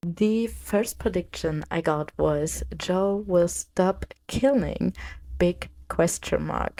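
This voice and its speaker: In a very clean recording with a silent background, a woman with a strong German accent speaks in a fairly low, dark, mellow voice with lively intonation. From Germany. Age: 20s. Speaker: podcast host. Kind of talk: casual podcast monologue.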